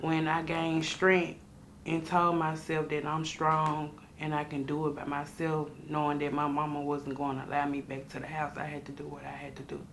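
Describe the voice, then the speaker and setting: A woman's very deep, low voice in a monotone, flat intonation at a moderate pace, with noticeable background noise and audible room echo. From US South, Memphis, Tennessee. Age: 20s. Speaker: formerly homeless young mother. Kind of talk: interview testimony. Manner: halting, many fillers.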